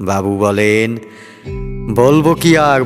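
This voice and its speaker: A man's voice with lively intonation over music in the background. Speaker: poetry reciter. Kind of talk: poetry reading. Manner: clear, expressive.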